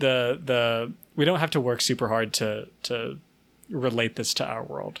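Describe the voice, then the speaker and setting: A man with an American accent, an unremarkable speaking voice at medium pitch and a fairly slow pace. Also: ordinary pitch variation, very clean recording, silent background. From US South. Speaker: podcast co-host. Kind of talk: casual chat.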